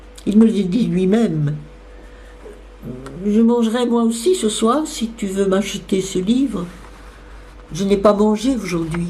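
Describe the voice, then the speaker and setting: With music in the background, a woman talks at a very slow pace, using ordinary pitch variation and long, frequent pauses. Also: medium pitch for a woman. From Belgium. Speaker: actress. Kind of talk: literary reading.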